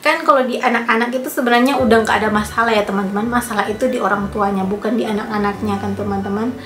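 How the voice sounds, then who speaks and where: Talking at a very fast pace, a woman with a fairly high pitch uses ordinary pitch variation, with audible room echo and noticeable background noise. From Indonesia, Manado (North Sulawesi). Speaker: vlogger. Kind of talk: casual storytelling vlog.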